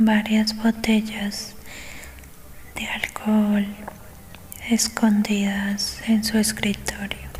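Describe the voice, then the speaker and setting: Soft-spoken and gentle in tone, the speaker goes at a very slow pace with monotone, flat intonation over noticeable background noise. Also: woman. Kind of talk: soft whispered audiobook reading for ASMR. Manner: soft-spoken, gentle.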